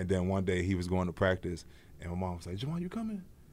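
A man with an American accent and very wide pitch swings, in audible room echo. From Prince George's County, Maryland. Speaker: professional football player. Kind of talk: casual interview chat. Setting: studio at a stadium.

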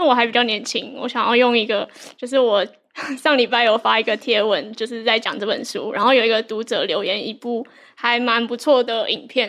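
This woman has an ordinary speaking voice with a fairly high pitch. She talks at a fairly quick pace with fairly even intonation. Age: young. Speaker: reading notes creator, co-host. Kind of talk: live book club discussion. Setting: live event with audience.

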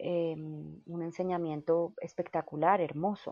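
Fairly slow and fairly even in intonation, a woman speaks in a fairly low pitch with a dark, mellow tone. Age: 40s. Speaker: yoga teacher. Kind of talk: interview conversation.

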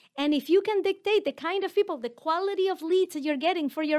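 The recording of this woman is very clean, with a silent background and a dry, close sound with no echo. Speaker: podcast host and business coach. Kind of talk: solo teaching episode.

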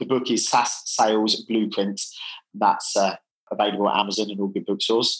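With monotone, flat intonation, a man speaks at a fairly low pitch and a fairly quick pace. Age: 40s. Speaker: sales software company founder. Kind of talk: podcast interview. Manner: halting.

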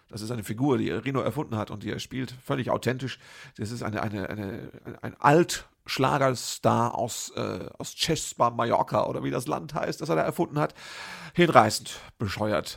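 Lively intonation marks this man's medium-pitched voice, which carries vocal fry. He keeps a moderate pace. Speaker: podcast host and cabaret artist. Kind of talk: podcast intro and outro narration; casual chat. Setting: empty café with some reverb.

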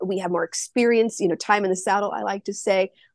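A woman talks in a normal speaking voice at a medium pitch, with ordinary pitch variation. The background is quiet. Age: 50s. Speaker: business founder and menopause advocate. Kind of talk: casual interview.

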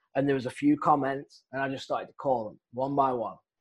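A man with an English accent against a quiet background. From England. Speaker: real estate wholesaler, former golf professional. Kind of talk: interview, casual storytelling.

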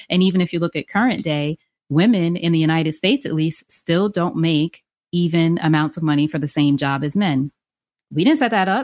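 A woman speaks at a fairly quick pace with ordinary pitch variation and fairly low pitch, in a plain, everyday voice. The sound is dry and close, with no echo. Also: very clean recording, silent background. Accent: American. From New York, Long Island. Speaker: podcast host and author. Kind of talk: interview conversation.

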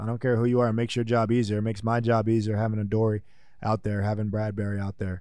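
Dark and mellow in tone, a man's medium-pitched voice with an American accent runs at a very fast pace with fairly even intonation. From New Jersey. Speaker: football player. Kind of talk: interview. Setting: in person.

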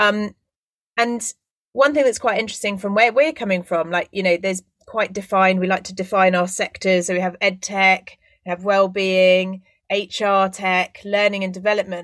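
Fairly even intonation runs through a plain, everyday voice. The pace is moderate. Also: woman, medium pitch for a woman. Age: 30s. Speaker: podcast host. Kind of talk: podcast interview.

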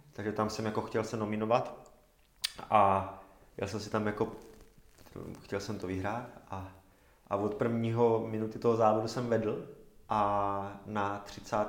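With audible room echo, a man talks at a moderate pace in a fairly low, monotone, flat voice, leaving long, frequent pauses. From Czechia, Zábřeh (Olomouc region). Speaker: semi-professional triathlete. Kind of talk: casual interview. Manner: halting, many fillers.

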